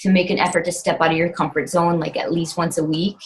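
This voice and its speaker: Her pace is very fast. The woman's voice is somewhat breathy and fairly low in pitch. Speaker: fitness coach. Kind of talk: team call talk. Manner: animated.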